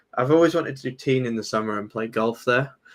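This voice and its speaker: A man talks in a British accent with a medium pitch. His pitch variation is ordinary. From Britain. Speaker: crypto trader and YouTuber. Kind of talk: casual chat.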